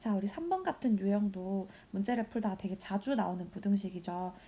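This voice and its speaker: A woman's somewhat breathy, dark, mellow voice at medium pitch, moderate pace, and ordinary pitch variation. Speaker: high school math teacher. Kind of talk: recorded lesson walkthrough.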